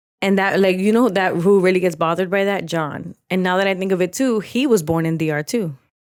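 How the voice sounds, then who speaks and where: A woman with a Spanish accent, medium in pitch, at a fairly quick pace. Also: ordinary pitch variation, hardly any pauses. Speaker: podcast co-host. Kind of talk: casual chat.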